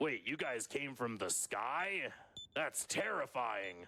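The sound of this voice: Gruff and lively in intonation, a put-on character voice moves along at a fairly slow pace. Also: man, medium pitch for a man.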